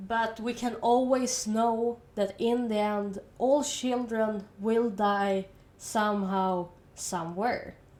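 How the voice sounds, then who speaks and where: Speaking with a Swedish accent, a woman uses a fairly high pitch and ordinary pitch variation. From Sweden. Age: 20s. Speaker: university student. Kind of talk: casual educational monologue.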